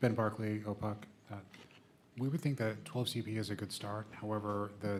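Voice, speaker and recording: A quiet man's voice, fairly low in pitch, with fairly even intonation and a fairly quick pace. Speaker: consumer advocate witness. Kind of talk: testimony. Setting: legislative committee hearing room. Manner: quiet, low volume. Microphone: too far from the microphone.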